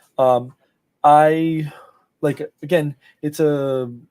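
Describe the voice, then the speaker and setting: A man with a Portuguese accent speaks in a dark, mellow tone. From Brazil, Rio de Janeiro. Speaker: software engineer. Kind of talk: interview. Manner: halting, many fillers.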